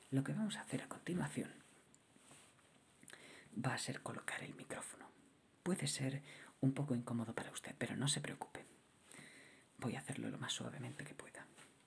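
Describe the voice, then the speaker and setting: The voice whispers at a fairly quick pace, broken by long, frequent pauses. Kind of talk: ASMR roleplay as a TV sound technician. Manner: soft-spoken, whispered.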